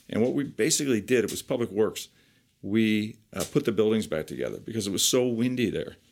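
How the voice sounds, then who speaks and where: On a very clean recording with a silent background, a man with a New Jersey accent talks at a fairly quick pace, with medium pitch and ordinary pitch variation. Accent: New Jersey American. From New Jersey, Piscataway. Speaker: vocational teacher and former navy builder. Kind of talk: interview. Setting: recorded interview.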